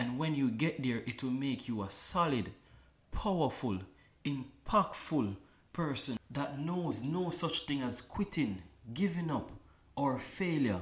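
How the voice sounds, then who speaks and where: Somewhat breathy and fairly high-pitched, a man talks with lively intonation. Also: fairly slow pace. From Kingston, Jamaica. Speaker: dancer. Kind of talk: interview.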